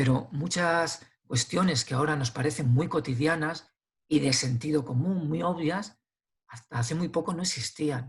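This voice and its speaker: At a moderate pace, a man with a fairly high pitch speaks in a somewhat breathy voice with ordinary pitch variation. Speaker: philosopher and author. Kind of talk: interview conversation. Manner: hesitant with fillers and repetitions.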